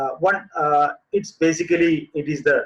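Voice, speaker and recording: A man speaks with a Keralan accent. His voice is somewhat breathy. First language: Malayalam. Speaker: composting expert. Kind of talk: webinar presentation. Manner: halting, many fillers.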